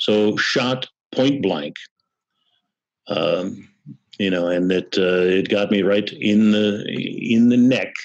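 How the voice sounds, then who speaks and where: A man's fairly low voice in an American accent, at a very slow pace with long, frequent pauses, ordinary pitch variation and very even loudness. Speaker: professional singer, speaker and broadcaster. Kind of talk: interview answer, personal storytelling. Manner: measured, reflective, dramatic pauses.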